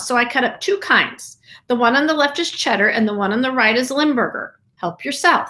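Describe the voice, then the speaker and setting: Using a put-on character voice, a woman speaks squeaky and high at a fairly quick pace with lively intonation. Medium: read story.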